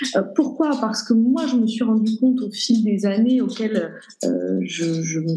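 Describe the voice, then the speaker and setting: With noticeable background noise and audible room echo, a woman talks at a fairly slow pace in a fairly high voice with ordinary pitch variation. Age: 20s. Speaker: shop owner. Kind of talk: interview. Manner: hesitant.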